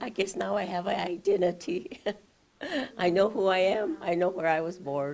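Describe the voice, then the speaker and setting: A woman with an American accent, medium pitch, and a moderate pace. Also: ordinary pitch variation. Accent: Navajo English. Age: 60s. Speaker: interviewee, Navajo elder. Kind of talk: interview.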